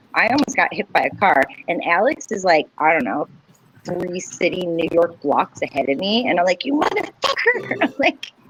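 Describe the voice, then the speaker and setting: Over noticeable background noise, a woman speaks loudly at a moderate pace in a medium pitch with very wide pitch swings. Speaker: podcast co-host. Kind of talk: casual chat.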